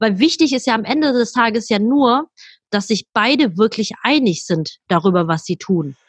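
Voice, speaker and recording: Lively intonation runs through a woman's speech. The sound is dry and close, without any echo. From Germany. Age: 30s. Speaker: wedding planner. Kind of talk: interview.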